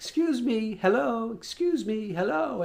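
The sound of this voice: This is a put-on character voice with fairly high pitch. It makes very wide pitch swings. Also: moderate pace.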